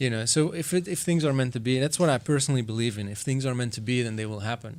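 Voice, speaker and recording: Speaking at a very fast pace with a Flemish Belgian accent, a man keeps a medium pitch and ordinary pitch variation. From Belgium (Flanders). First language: Flemish (Dutch). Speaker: session drummer. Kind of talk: podcast interview. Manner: casual, hesitant with fillers.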